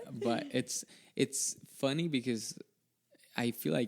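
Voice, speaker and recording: The speaker talks at a fairly slow pace, with vocal fry running through the voice. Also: man. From El Salvador. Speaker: IT professional, podcast guest. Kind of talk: casual chat. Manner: halting.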